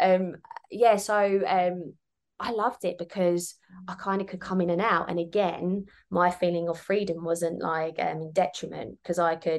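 In a southern English accent, a woman of medium pitch speaks at a moderate pace with fairly even intonation. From southern England (Kent). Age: 30s. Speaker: business mentor. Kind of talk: casual interview.

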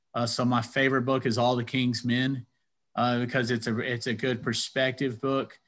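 Delivered at a moderate pace in an American accent, the speech is monotone and flat with very even loudness, on a very clean recording with a silent background. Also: man, medium pitch for a man. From US South, Athens, Georgia. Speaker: commercial real estate broker and engineer. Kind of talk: interview. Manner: halting, many fillers.

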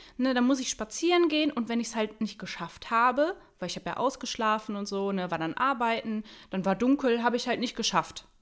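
In an unremarkable speaking voice, a woman talks at a moderate pace with a fairly high pitch and lively intonation. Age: 20s. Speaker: beautician, coaching client. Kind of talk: casual interview.

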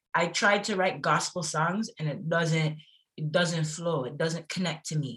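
Speaking with a Toronto accent, a woman uses a fairly low pitch, ordinary pitch variation and a fairly slow pace. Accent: Toronto Canadian English. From Toronto, Canada. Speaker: singer and former sprinter. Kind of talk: casual interview chat. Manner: animated.

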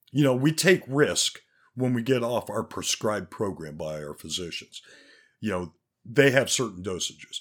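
In a very clean recording with a silent background, a man at medium pitch speaks at a moderate pace with vocal fry, very wide pitch swings and big swings in loudness. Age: 50s. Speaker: podcast host. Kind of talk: casual solo monologue with profanity. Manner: casual, candid, profane.

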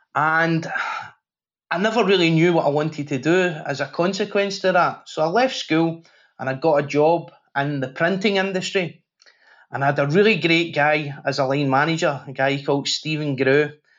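A man speaks with a Glaswegian accent at a moderate pace. His pitch is fairly high and varies in an ordinary way. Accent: Glaswegian Scottish. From Scotland, Glasgow. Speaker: safety professional and podcast host. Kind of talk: interview conversation.

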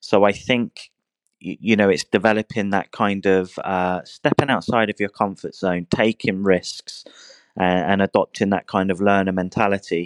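A man with a fairly low pitch, fairly even intonation and a moderate pace, over a quiet background. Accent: southern English. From southern England, Hampshire. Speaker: online English teacher. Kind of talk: interview. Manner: halting, many repetitions and fillers.

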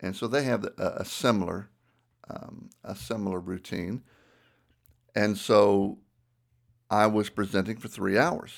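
A man with a Southern US accent, fairly low in pitch, at a fairly slow pace with long, frequent pauses and ordinary pitch variation, on a very clean recording with a silent background. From US South. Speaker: ministry podcast host. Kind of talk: casual chat; teaching talk.

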